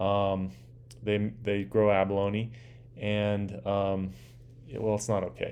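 A man with an American accent speaks at a very slow pace, with long, frequent pauses. His pitch is fairly low, with ordinary variation. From US West Coast, Southern California (Orange County). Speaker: podcast host and dive company owner. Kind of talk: solo monologue podcast, self-interview. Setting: living room.

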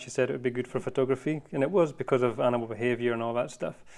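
A man with a Scottish accent. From Scotland. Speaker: wildlife photographer. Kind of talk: casual interview chat.

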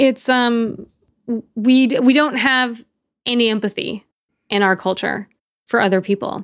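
A woman's fairly high voice, fairly slow with long, frequent pauses and fairly even intonation, in a very clean recording with a silent background and a dry, close sound with no echo. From US South, Texas and Nashville. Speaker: punk band vocalist and author. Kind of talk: casual interview.

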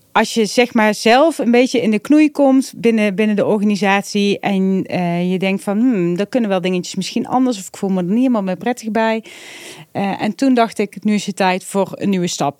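In a normal speaking voice, a woman talks at medium pitch and a moderate pace with ordinary pitch variation, the sound dry and close with no echo. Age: 40s. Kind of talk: casual interview.

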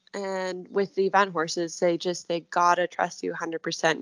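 A woman with an American accent and a plain, everyday voice speaks at a moderate pace and fairly low pitch, in a dry, close sound with no echo against a quiet background. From US. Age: 20s. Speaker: equestrian eventing rider. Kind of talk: interview.

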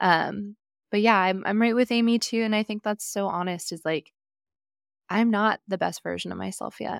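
In a normal speaking voice with an American accent, the speaker goes at a moderate pace with fairly even intonation, in a dry, close sound with no echo on a very clean recording with a silent background. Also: woman, medium pitch for a woman. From California. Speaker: podcast host and nutrition coach. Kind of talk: casual interview chat.

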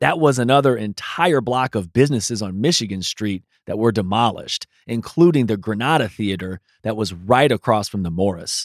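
With an American accent and a normal speaking voice, a man talks at a fairly quick pace and medium pitch with lively intonation, in a dry, close sound with no echo on a very clean recording with a silent background. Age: 40s. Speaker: podcast host and teacher. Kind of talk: interview and scripted narration.

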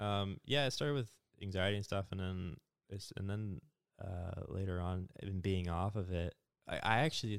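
Recorded very cleanly against a silent background, a man with a very deep, low pitch speaks at a fairly quick pace with fairly even intonation, the sound dry and close with no echo. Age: 20s. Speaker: podcast guest discussing anxiety. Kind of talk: casual chat.

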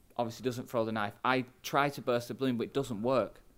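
A man with a Mancunian accent, medium-pitched and fairly quick, on a very clean recording with a silent background. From England, Manchester. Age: 40s. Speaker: pastor. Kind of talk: podcast interview.

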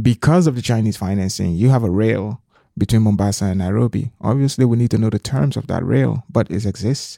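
Close and dry, the recording carries no echo. A dark, mellow tone holds ordinary shifts in pitch. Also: man, medium pitch for a man, fairly quick pace. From southeastern Liberia. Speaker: former government minister, policy fellow. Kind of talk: interview.

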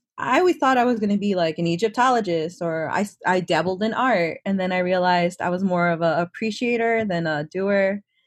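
Against a quiet background, a speaker with an American accent talks fairly quickly with ordinary pitch variation. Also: woman, medium pitch for a woman. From Chicago, South Side. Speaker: DevOps engineer. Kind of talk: casual interview.

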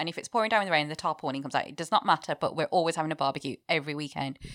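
A woman speaks in a British accent with lively intonation. The recording is very clean, with a silent background. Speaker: chef. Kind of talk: casual chat.

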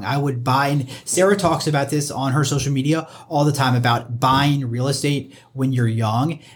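Recorded with audible room echo, a man speaks fairly quickly at a fairly high pitch in a somewhat breathy voice. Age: 30s. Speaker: mortgage loan officer. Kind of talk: casual chat.

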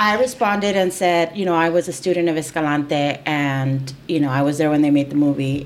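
A woman with a Spanish accent talks at a fairly quick pace with lively intonation over noticeable background noise. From East LA. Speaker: podcast host, employment attorney. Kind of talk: casual interview chat.

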